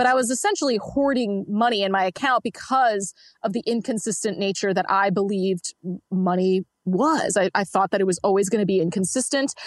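A woman with an ordinary speaking voice at medium pitch talks at a fairly quick pace with very even loudness, the sound dry and close with no echo. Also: ordinary pitch variation. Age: 20s. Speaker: entrepreneur coach and debt-free finance guest. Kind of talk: interview.

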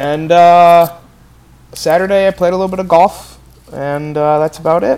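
With long, frequent pauses, a man speaks at a high pitch and with fairly even intonation. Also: moderate pace. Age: 20s. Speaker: podcast co-host, former student reporter. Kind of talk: casual chat.

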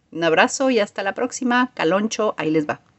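Speaking at a fairly quick pace, a woman with a Mexican accent makes very wide pitch swings. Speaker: music columnist. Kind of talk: radio column.

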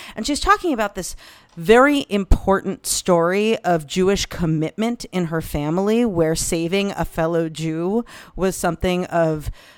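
A woman with an unremarkable speaking voice and an American accent, at a fairly slow pace. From United States. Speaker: podcast panelist. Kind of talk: casual chat. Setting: remote recording.

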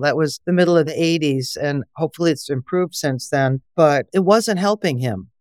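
A voice in an Upper Midwest US accent, dry and close with no echo, on a very clean recording against a silent background. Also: woman. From Wisconsin. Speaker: herbalist and organic farmer. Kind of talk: interview.

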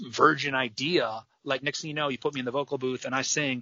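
A man with an ordinary speaking voice talks at a medium pitch and a fairly quick pace. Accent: American. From US Midwest, Michigan. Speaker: rock band frontman. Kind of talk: casual interview chat.

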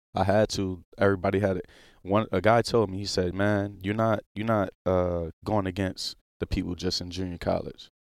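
A man with a New Orleans accent speaks at a fairly low pitch and a moderate pace, in monotone, flat intonation. The recording is very clean with a silent background, and the sound is dry and close with no echo. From New Orleans, Louisiana. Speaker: pro football player. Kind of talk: casual interview. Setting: studio.

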